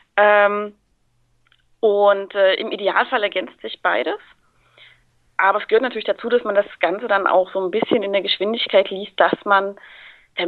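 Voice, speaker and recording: Here a woman speaks at medium pitch. Her pace is moderate. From Thuringia, Germany. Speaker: guest voice actor and bookseller. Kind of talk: casual chat. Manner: talkative.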